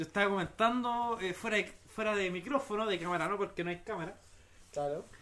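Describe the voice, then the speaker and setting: The voice is raised and projected, with a bright, sharp tone. It moves at a fairly quick pace in a Chilean accent. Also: man, high pitch for a man, ordinary pitch variation. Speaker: podcast co-host. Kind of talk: casual chat.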